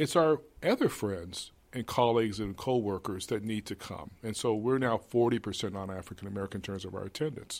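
An ordinary speaking voice at a fairly quick pace, ordinary pitch variation, very clean recording, silent background. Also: man, fairly low pitch for a man. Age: 60s. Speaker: museum executive director. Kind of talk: interview.

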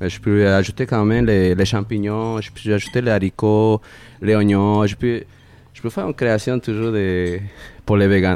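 Dark, mellow tone from a man with a Spanish accent and fairly even intonation. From Peru, Lima. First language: Spanish (speaking French). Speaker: chef. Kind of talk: casual chat. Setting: restaurant. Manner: halting.

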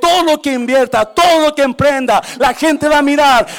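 This man's voice sits at an extremely high pitch, with ordinary pitch variation. There is noticeable background noise. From Mexico (born Guanajuato, raised Nayarit). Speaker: pastor. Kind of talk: sermon. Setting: church service with congregation.

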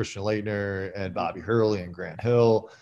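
Against a quiet background, a man with an American accent talks at a moderate pace. His pitch is fairly low and his intonation monotone and flat. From Philadelphia area, US. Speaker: former basketball player. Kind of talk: podcast interview.

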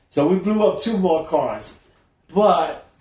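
A man with a New York accent. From New York City (Bronx). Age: 60s. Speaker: actor. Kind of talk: casual chat. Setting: at home.

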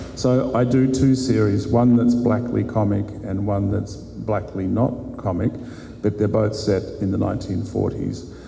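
With an Australian accent, a man speaks at a fairly low pitch and fairly even intonation. Music plays in the background, and the room echo is audible. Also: fairly slow pace. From Queensland, Australia. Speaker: crime novelist. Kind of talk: panel discussion. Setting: stage with live audience.

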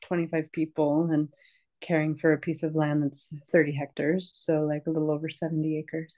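In a Northeastern US accent, a woman speaks at a moderate pace with a very deep, low pitch and monotone, flat intonation. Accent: American (Northeastern US). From US, upstate New York (Rochester). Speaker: herbalist and permaculture teacher. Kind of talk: interview.

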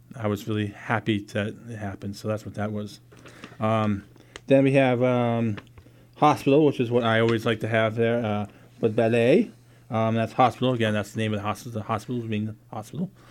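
A medium-pitched man speaks at a fairly quick pace with fairly even intonation, with noticeable background noise behind him. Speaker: radio host. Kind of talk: radio dj patter, playful. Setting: studio. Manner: rambling; playful.

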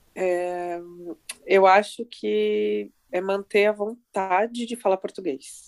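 A woman with a medium-pitched voice speaks very slowly. Her intonation stays fairly even. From Brazil. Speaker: author and marketing professional. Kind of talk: interview. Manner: run-on sentences.

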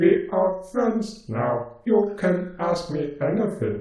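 With a slight echo, a man puts on a high-pitched character voice and speaks at a very slow pace. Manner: stilted, literal, machine-like phrasing.

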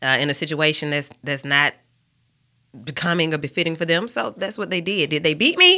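Bright and sharp in tone, a woman speaks at a fairly quick pace with a very deep, low pitch. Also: very clean recording, silent background. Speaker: radio host and counselor. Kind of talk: casual interview.

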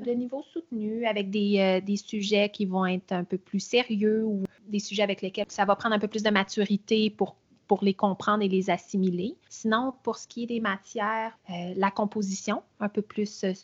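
At a moderate pace, a woman talks with medium pitch and fairly even intonation.

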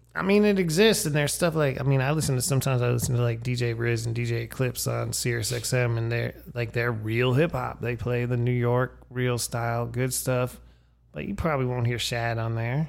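In an American accent, a man with an unremarkable speaking voice talks at a fairly quick pace, with medium pitch and ordinary pitch variation. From Erie, Pennsylvania. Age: 50s. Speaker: podcast host. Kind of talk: casual chat.

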